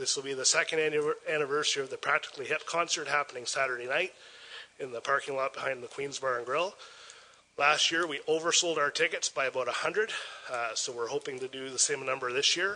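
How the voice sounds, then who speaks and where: With a Canadian accent, a man talks at a fairly quick pace and fairly high pitch, using ordinary pitch variation. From Port Elgin, Ontario, Canada. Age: 40s. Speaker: festival organizer. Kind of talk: public presentation. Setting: council chambers. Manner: enthusiastic. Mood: upbeat, promotional. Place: meeting room. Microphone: podium.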